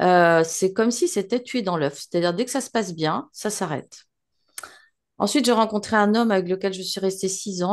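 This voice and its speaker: Against a quiet background, a woman at medium pitch speaks at a moderate pace with ordinary pitch variation. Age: 60s. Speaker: hypnosis client. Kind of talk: personal testimony. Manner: halting, many hesitations.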